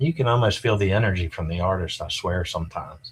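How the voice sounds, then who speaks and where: A man with an American accent has a very deep, low pitch and sounds somewhat breathy. The recording is very clean, with a silent background. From rural US. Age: 60s. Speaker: art collector. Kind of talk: interview. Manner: casual, halting with fillers.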